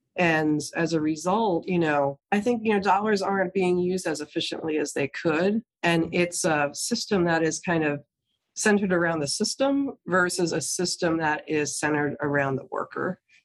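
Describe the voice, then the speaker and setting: An unremarkable speaking voice from a woman with an American accent, fairly low in pitch, at a moderate pace with ordinary pitch variation and hardly any pauses. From New Jersey. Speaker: nonprofit CEO. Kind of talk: interview. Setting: office.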